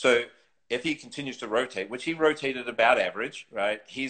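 In a New Zealand accent, a man talks over a quiet background. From New Zealand, North Island. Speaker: golf teacher and former tour pro; golf teacher. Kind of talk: casual interview. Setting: live video stream. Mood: relaxed, conversational. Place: home room. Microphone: phone near.

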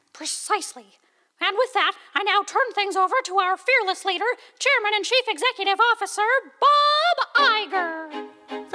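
A cartoonish character voice talks at a moderate pace. Faint music plays in the background. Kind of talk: animated musical parody. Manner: chipper, salesmanlike.

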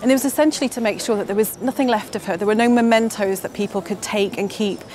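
A woman speaks with ordinary pitch variation in a dry recording with no echo and light background noise. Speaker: presenter. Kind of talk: presenter piece to camera. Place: street. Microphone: lapel.

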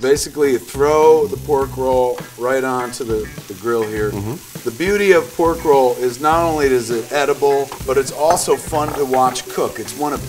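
Noticeable background noise sits under a man talking at a moderate pace with ordinary pitch variation. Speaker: cooking show host. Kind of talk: comedic cooking demonstration. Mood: playful, joking. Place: kitchen.

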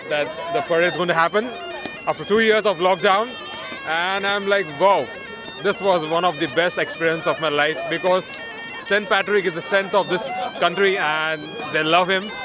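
Against clear music in the background, a man with a high pitch and ordinary pitch variation speaks at a moderate pace with long, frequent pauses, the sound dry with no echo. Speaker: interviewee. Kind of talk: interview answer. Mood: enthusiastic, happy. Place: street. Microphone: phone near.

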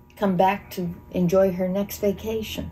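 With an American accent, a woman speaks slowly in a dark, mellow, somewhat breathy tone with monotone, flat intonation over light background noise. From Monroe County, Pennsylvania, USA; Pennsylvania. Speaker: volunteer EMT; interviewee. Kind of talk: interview answer. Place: home room.

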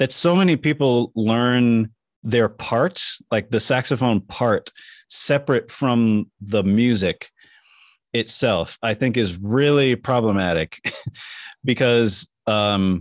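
At a slow pace, a man speaks at medium pitch with ordinary pitch variation.

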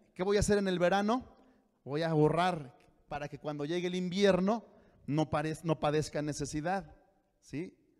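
Ordinary pitch variation at a moderate pace, with long, frequent pauses and a quiet background. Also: man, high pitch for a man. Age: 40s. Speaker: pastor. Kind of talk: sermon. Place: church. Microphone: handheld.

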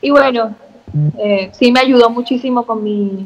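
Moderate-paced speech from a woman, fairly high in pitch, with ordinary pitch variation. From Venezuela. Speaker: beauty queen; interview guest. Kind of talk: casual chat. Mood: cheerful, animated storytelling. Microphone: video call.

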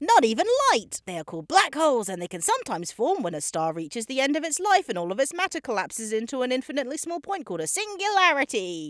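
This cartoonish character voice is high-pitched and upbeat, racing along at a very fast pace with very wide pitch swings. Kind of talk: comedic explainer narration. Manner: upbeat, eager.

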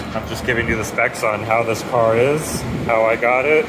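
A moderate pace over noticeable background noise. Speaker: car mechanic video host. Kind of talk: tutorial. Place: garage.

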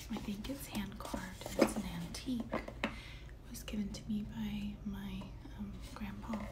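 A soft-spoken woman over loud background noise. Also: fairly slow pace. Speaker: ASMR artist. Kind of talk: ASMR show-and-tell talk to viewer. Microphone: phone near.

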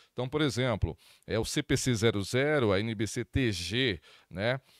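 The sound is dry with no echo against a quiet background. A man speaks with lively intonation. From Brazil. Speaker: accounting consultant and lecturer; lecturer. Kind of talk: lecture. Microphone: handheld.

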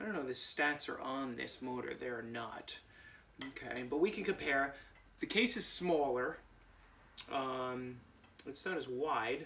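A man speaks at a moderate pace with long, frequent pauses and ordinary pitch variation. Light background noise can be heard. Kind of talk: tutorial. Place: garage. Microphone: camera far.

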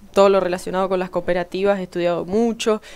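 A woman with fairly even intonation. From Argentina. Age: 20s. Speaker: newly elected city councillor; newly elected councillor. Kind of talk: radio interview. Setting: radio studio. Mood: earnest, calm, proud. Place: studio. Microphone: headset.

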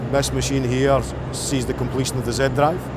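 A man's voice, dry with no echo, over noticeable background noise. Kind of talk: interview answer. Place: tunnel cave.

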